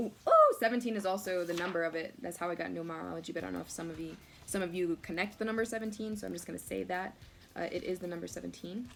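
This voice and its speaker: Noticeable background noise is present throughout. Over it, a woman speaks very fast. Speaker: oracle card reader. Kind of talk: oracle card reading. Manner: animated; loud.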